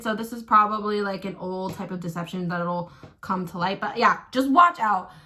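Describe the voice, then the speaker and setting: Against noticeable background noise, a woman speaks at a medium pitch and a fairly quick pace. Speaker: astrologer and tarot reader. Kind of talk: casual get-ready-with-me vlog. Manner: casual, filler-heavy.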